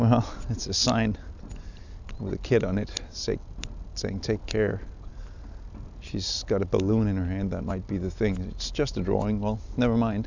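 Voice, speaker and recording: There is audible room echo around this man's voice. He leaves long, frequent pauses. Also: moderate pace. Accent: Danish. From Denmark. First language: Danish. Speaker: fly fishing podcaster. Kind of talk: casual outdoor monologue. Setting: outdoors by the water. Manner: halting, many fillers. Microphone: handheld recorder with zipper clicks and phone noise.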